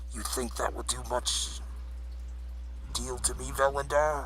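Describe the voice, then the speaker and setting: A man's put-on character voice at a fairly slow pace, over clear background noise. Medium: role play.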